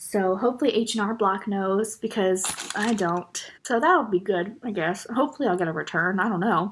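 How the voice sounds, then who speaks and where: Her pitch fairly high, a woman speaks with an American accent at a moderate pace. She has an ordinary speaking voice with ordinary pitch variation. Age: 20s. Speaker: vlogger. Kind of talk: casual chat. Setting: eating on camera.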